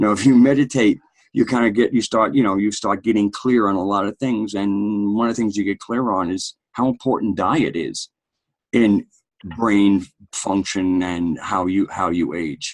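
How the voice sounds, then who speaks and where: A man with a fairly low pitch talks in a normal speaking voice. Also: ordinary pitch variation, moderate pace. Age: 60s. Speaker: podcast host. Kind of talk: casual discussion.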